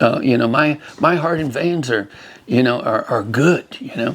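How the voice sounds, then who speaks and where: This man's voice sits fairly high, with vocal fry. His pitch swings very widely at a fairly quick pace. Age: 80s+. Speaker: former rodeo bull rider. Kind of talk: interview answer, personal story. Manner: halting, many fillers and repeats; enthusiastic.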